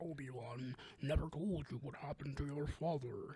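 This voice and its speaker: A robotic, put-on character voice speaks at a moderate pace and a low-to-middle pitch. Its intonation is fairly even, with light background noise. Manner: menacing, grave.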